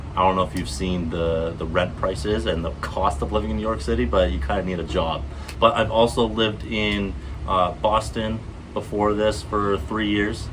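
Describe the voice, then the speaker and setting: Over noticeable background noise and audible room echo, a man with a very deep, low pitch talks at a moderate pace with lively intonation. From US Northeast, Vermont. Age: 20s. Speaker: vlogger. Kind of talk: casual vlog monologue. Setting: outdoors, garden setting. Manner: halting, many fillers. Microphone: unsure if earbuds are connected, may sound quiet.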